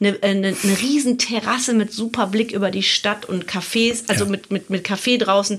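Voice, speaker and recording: Noticeable background noise runs under a woman's voice. She talks at a moderate pace with fairly even intonation. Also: medium pitch for a woman. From Germany, Hilden near Cologne. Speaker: podcast host. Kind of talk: casual chat.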